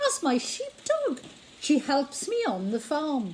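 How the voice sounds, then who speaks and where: A woman puts on a high-pitched character voice and speaks fairly slowly against clear background noise. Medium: read story.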